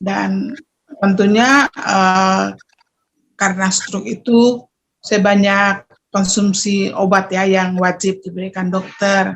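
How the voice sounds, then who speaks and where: This woman's voice is somewhat breathy and medium in pitch. She talks at a very slow pace with fairly even intonation. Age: 50s. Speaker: testimonial giver. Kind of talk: testimony. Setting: video call. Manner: hesitant, with fillers.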